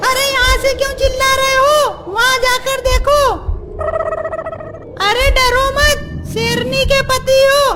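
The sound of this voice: An extremely high, cartoonish character voice at a very slow pace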